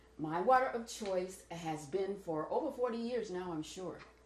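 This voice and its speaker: A woman's voice with lively intonation and audible room echo. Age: 70s. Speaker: raw vegan health advocate. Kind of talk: interview answer. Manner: emphatic, chatty. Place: kitchen. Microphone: camera far.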